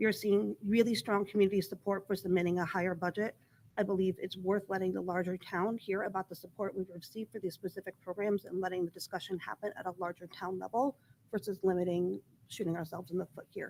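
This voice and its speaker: The speech comes very fast and shaky, with fairly even intonation. The sound is dry and close, with no echo. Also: woman, medium pitch for a woman. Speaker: school board member. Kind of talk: public meeting statement. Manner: shaky voice.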